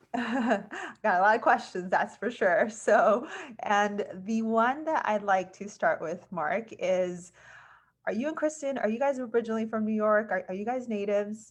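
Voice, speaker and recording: A woman with a plain, everyday voice speaks at a fairly high pitch and moderate pace, with ordinary pitch variation and a quiet background. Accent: American. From California. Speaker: podcast host. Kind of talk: casual interview.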